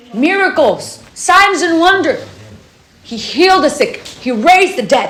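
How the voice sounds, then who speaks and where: A woman sounds animated, her pitch swinging very widely at a moderate pace. Noticeable background noise and audible room echo fill the recording. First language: not English. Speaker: camp devotion speaker. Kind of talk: sermon.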